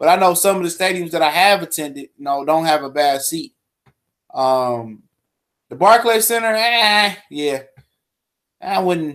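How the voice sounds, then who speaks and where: A man speaks in a high pitch at a moderate pace, animated in tone and lively in intonation. He leaves long, frequent pauses. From US Midwest, Detroit. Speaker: boxing podcast host. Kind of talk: casual solo livestream commentary.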